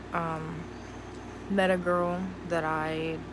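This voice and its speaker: In an American accent, the speaker's flat, monotone intonation comes through audible room echo and noticeable background noise. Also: woman. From US Mid-Atlantic, Cumberland, Maryland. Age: 20s. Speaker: vlogger. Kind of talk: casual personal vlog monologue.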